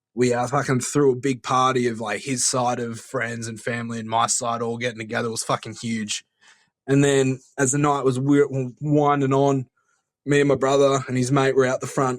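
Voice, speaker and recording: At a moderate pace, a man talks at a medium pitch with monotone, flat intonation. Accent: Australian. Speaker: caller. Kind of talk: voicemail anecdote.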